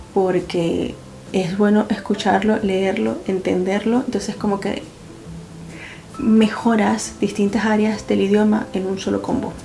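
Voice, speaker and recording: In a fairly slow delivery, a woman speaks at a medium pitch with fairly even intonation over noticeable background noise. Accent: Venezuelan. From Venezuela. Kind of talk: casual talk to camera.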